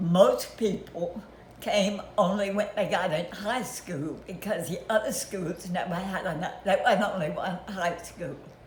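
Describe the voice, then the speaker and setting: Over noticeable background noise, a woman's speech moves at a fairly slow pace. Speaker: grandmother. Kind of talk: family reminiscence, interview answer.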